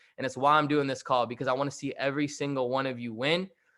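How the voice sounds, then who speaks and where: A man's fairly high, bright, sharp voice at a very fast pace, with fairly even intonation, on a very clean recording with a silent background. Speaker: motivational speaker. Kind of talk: motivational talk. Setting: group call.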